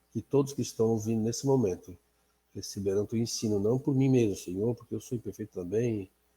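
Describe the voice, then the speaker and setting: A man's fairly low, somewhat breathy voice in a dark, mellow tone, with an Azorean accent and fairly even intonation, on a very clean recording with a silent background. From Azores, Portugal. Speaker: Bible class teacher. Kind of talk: prayer; Bible study lesson. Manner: halting.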